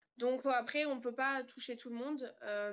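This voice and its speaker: Speaking at a moderate pace, a woman uses an unremarkable speaking voice pitched fairly high. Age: 20s. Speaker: trainee social educator. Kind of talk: casual online panel discussion.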